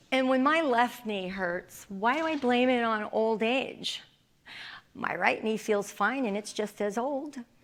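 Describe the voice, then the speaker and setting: This woman has an unremarkable speaking voice, pitched fairly high. She speaks at a fairly slow pace with ordinary pitch variation. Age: 60s. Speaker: philosophy professor. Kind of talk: lecture.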